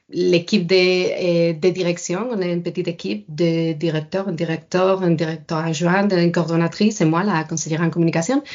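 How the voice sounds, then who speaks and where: A woman talks with fairly even intonation and hardly any pauses. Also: fairly low pitch for a woman, moderate pace. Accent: Spanish. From Spain. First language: Spanish (speaking French). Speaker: science communication adviser. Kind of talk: podcast interview. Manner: hesitant, many fillers.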